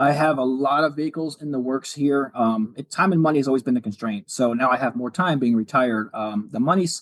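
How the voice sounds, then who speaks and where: A man at medium pitch, fairly quick and with hardly any pauses, ordinary pitch variation, in a dry, close sound with no echo. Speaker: retired police officer and car builder. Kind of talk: podcast interview. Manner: fast.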